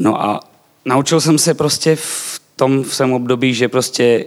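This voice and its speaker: A man talks with a Slovak accent. His intonation is fairly even. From eastern Slovakia. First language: Slovak (speaking Czech). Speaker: church member, Bible school graduate. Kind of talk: testimony.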